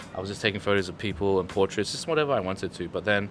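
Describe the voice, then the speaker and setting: A man speaks with a fairly low pitch. His pitch shows ordinary variation. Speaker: photographer and university student. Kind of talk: casual group discussion.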